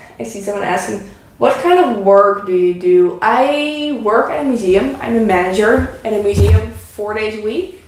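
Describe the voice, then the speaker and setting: Lively intonation in a Dutch accent, with audible room echo. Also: woman, medium pitch for a woman. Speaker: craft YouTuber. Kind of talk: casual chat. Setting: live stream at home. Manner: halting.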